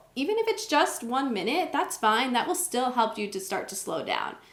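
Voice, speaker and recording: There is audible room echo around a woman's high-pitched voice. She speaks at a moderate pace. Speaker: wellness vlogger. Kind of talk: talking-head tutorial.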